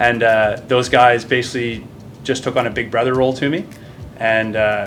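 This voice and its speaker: With a Maritime Canadian accent, a man speaks at medium pitch and a moderate pace. His intonation is fairly even, and the room echo is audible. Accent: Canadian (Maritimes) English. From Nova Scotia, Canada. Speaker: naval officer and military basketball player. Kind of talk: casual interview chat. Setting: gym, stretching after workout.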